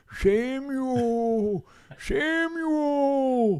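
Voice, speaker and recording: High in pitch, this is a put-on character voice. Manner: calling out.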